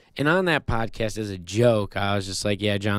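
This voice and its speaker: In a very clean recording with a silent background, a man with a normal speaking voice and fairly low pitch talks at a moderate pace. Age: 20s. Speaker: podcast host and author. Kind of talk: casual solo monologue.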